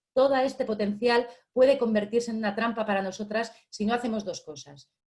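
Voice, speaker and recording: A fairly quick, animated woman's voice at a fairly high pitch, with ordinary pitch variation. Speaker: economist / activist. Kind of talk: panel talk. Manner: fast. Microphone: voice cutting out for some listeners.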